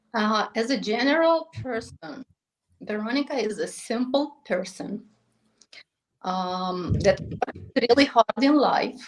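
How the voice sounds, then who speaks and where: A woman's fairly high voice with a non-native accent, lively intonation and a very slow pace. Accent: foreign. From Moldova. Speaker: real estate agent. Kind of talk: podcast interview. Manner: halting.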